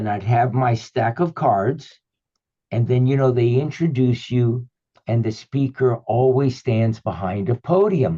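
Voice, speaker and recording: At a fairly slow pace, the man talks in a medium-pitched, somewhat breathy voice of dark, mellow tone, its pitch shifting in an ordinary way. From Cuba, raised partly in the US. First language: Spanish or Yiddish (English third language). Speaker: author and spiritual teacher. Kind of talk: interview, personal storytelling. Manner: fluent, flowing.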